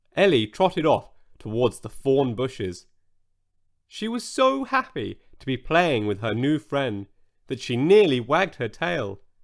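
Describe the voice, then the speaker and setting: A man speaks at a fairly slow pace with very wide swings in pitch. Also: medium pitch for a man. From Britain. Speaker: audiobook narrator. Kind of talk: children's bedtime story narration.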